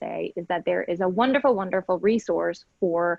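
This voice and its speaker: A woman with a Spanish accent and lively intonation. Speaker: legal aid lawyer. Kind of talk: panel discussion.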